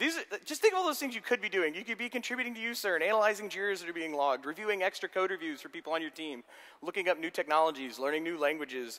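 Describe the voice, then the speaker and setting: Speaking very fast in a raised, projected voice, a man with a high pitch and a bright, sharp tone swings his pitch very widely. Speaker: software architect giving a conference talk. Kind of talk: lecture.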